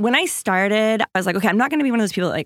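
A woman with an American accent and lively intonation, in a dry, close sound with no echo. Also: very clean recording, silent background. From Washington State, small rural town. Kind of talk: interview.

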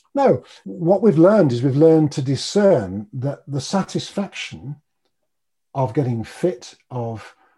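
A man's lively intonation carries a dark, mellow tone that is somewhat breathy. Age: 60s. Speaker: behavioural change coach and meditation teacher. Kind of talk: casual interview chat.

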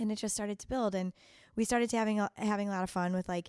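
The voice has a Chicago accent and a monotone, flat intonation. The recording is very clean, with a silent background. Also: woman. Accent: Chicago accent, noticeable on some words. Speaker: chef. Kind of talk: interview. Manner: halting, many fillers.

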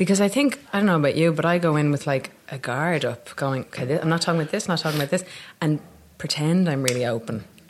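A woman with a Dublin accent talks at a very fast pace with a very deep, low pitch. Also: ordinary pitch variation. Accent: Dublin Irish. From Ireland, Dublin. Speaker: actor. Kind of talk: casual chat. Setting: café.

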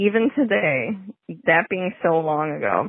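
With an American accent, a woman at a fairly low pitch speaks in an ordinary speaking voice. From Chicago. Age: 30s. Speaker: listener caller. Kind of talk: recorded voicemail story.

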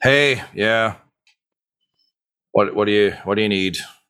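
A man uses a put-on character voice that sounds gruff. His pitch sits fairly low.

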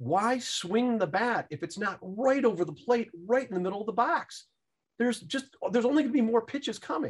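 At a fairly quick pace, a man speaks with an extremely high pitch and lively intonation. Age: 50s. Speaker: fund manager and stock investor. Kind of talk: interview.

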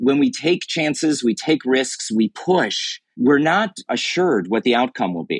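Recorded dry and close with no echo, a man with fairly high pitch, vocal fry and very wide pitch swings speaks fairly slowly with hardly any pauses. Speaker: author and founder of a courage movement. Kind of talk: interview. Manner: confident.

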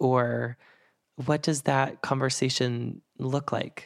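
In a medium pitch, a man talks with an American accent. The sound is dry and close with no echo, on a very clean recording with a silent background. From Boston. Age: 30s. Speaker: podcast host. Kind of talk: interview podcast.

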